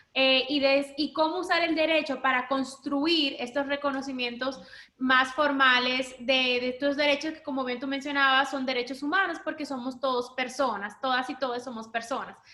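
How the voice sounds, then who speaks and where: Hardly pausing, a woman projects a raised, high-pitched voice with fairly even intonation. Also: moderate pace. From Dominican Republic. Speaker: human rights lawyer. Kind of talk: panel talk.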